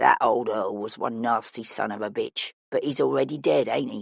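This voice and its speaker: A raspy, put-on character voice at a moderate pace. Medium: read story. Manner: sly, colloquial, conspiratorial.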